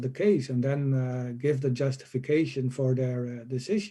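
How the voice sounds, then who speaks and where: With a non-native accent, a man speaks at a moderate pace in a medium pitch, his dark, mellow tone somewhat breathy and his intonation fairly even. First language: not English. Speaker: professor, conference speaker. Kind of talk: conference Q&A. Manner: halting.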